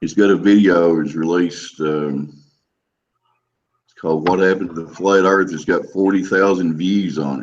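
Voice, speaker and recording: A man's very deep, low voice at a moderate pace with fairly even intonation. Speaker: flat earth hangout participant. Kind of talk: casual chat. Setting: video call.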